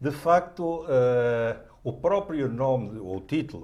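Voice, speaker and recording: Somewhat breathy, a man speaks with lively intonation in a European Portuguese accent. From Portugal. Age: 70s. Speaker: writer. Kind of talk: TV interview.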